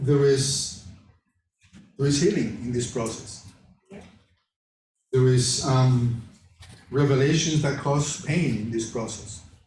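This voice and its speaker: At a very slow pace, a man at medium pitch speaks with ordinary pitch variation and long, frequent pauses. Audible room echo surrounds his voice. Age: 60s. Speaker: class leader sharing personal testimony. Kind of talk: testimony.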